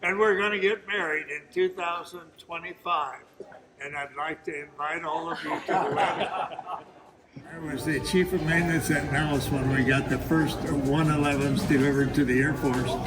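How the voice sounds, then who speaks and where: Over noticeable background noise, the speech moves at a moderate pace with ordinary pitch variation. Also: man, fairly high pitch for a man. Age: 90s. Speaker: war veteran. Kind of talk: storytelling to audience.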